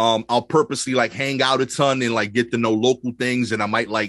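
Fairly quick, fairly even speech in a New York accent, dry and close with no echo, over a quiet background. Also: man. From Brooklyn, New York (East New York). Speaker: stand-up comedian. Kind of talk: casual chat.

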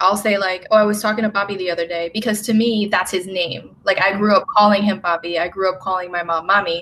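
Flat and monotone, a woman speaks at a medium pitch over noticeable background noise. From Puerto Rico. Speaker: book club podcast co-host. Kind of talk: casual chat.

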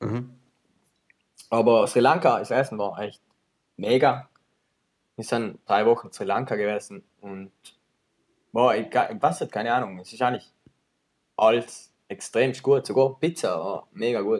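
At a fairly slow pace, a man with a medium pitch and ordinary pitch variation speaks with long, frequent pauses and big swings in loudness. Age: 20s. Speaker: videographer and filmmaker. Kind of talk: casual chat.

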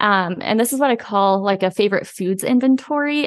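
A woman with an American accent speaks at a medium pitch and a moderate pace. It's a normal speaking voice, set against a quiet background. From US Midwest, southern Indiana. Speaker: chef and business owner. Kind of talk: casual interview.

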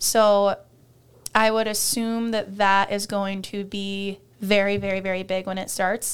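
A woman with an American accent speaks at a fairly slow pace in a medium pitch and a monotone, flat intonation. The recording is very clean, with a silent background. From Iowa, US Midwest. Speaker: college volleyball player. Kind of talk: casual interview.

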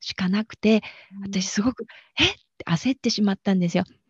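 A somewhat breathy woman's voice with a dark, mellow tone and a dry, close sound with no echo. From Japan, Aichi. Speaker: bridal florist and energy healer. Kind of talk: interview.

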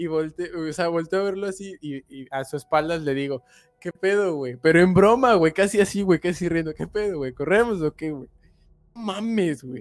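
Music plays in the background of this dry, close recording with no echo. The speaker has a Mexican accent, ordinary pitch variation, a moderate pace and big swings in loudness. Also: man, high pitch for a man. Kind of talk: casual chat. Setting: live stream.

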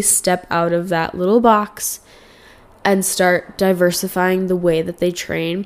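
A woman with a Canadian accent at a medium pitch and a fairly slow pace. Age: 20s. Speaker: podcast host. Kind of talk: casual solo chat. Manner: rambling, chatty with frequent fillers.

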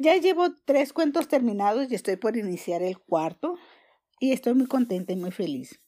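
A woman speaks at a high pitch with very wide pitch swings and a dark, mellow tone. The recording is very clean, with a silent background. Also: moderate pace. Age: 70s. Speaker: former schoolteacher and holistic therapist. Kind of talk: testimony.

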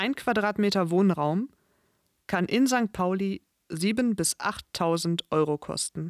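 At a very slow pace, a woman speaks at medium pitch with ordinary pitch variation, on a very clean, dry, close recording with a silent background and no echo. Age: 30s. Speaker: podcast host, language and culture teacher. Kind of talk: scripted narration for language learners. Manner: clear, measured.

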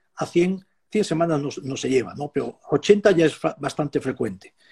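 A man's high-pitched voice with a dark, mellow tone is heard in a dry, close sound with no echo. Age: 70s. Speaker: animal nutrition professor and consultant. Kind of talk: interview.

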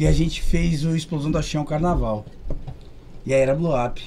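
At a moderate pace, a man speaks in a fairly high, somewhat breathy voice with a dark, mellow tone. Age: 30s. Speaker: musician. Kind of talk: casual chat.

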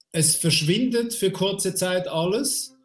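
Music plays in the background while a man speaks at a very slow pace. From Switzerland. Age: 50s. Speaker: career coach. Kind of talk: interview about a near-death experience. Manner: halting.

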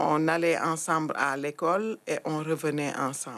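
A woman speaks at a very deep, low pitch and a fairly slow pace. The recording is very clean, with a silent background. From Senegal, Thiès. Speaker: community activist. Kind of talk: testimony.

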